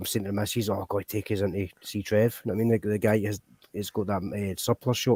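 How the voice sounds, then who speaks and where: A man with a Glaswegian accent, fairly low in pitch and dark, mellow in tone, at a very fast pace, in a dry, close sound with no echo. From Scotland, Glasgow. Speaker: livestream host. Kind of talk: casual chat. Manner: animated.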